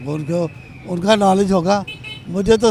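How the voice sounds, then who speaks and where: High-pitched male speech amid noticeable background noise. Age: 70s. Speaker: voter interviewed on street. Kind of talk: street interview.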